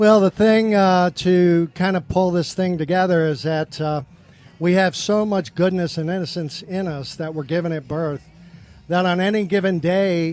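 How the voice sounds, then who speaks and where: At a moderate pace, a man with an American accent and a high pitch speaks with fairly even intonation. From New York, the Bronx. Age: 60s. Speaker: guest. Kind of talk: casual chat. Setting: live broadcast at a brewery.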